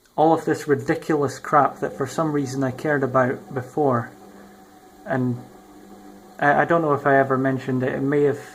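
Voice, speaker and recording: Long, frequent pauses break up this man's speech, which sits at a fairly high pitch with a monotone, flat intonation. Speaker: YouTuber. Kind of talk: casual vlog monologue. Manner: halting, many ums and ahs.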